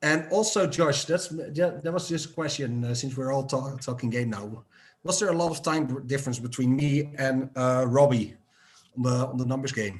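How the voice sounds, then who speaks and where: A man speaks at a moderate pace with medium pitch and ordinary pitch variation. His voice is somewhat breathy. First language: not English. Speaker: game show contestant. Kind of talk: casual chat. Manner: halting, repeats words.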